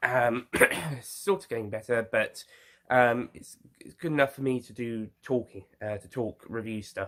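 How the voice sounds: A man talks at a fairly slow pace with a fairly bright tone. His pitch varies in an ordinary way. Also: medium pitch for a man.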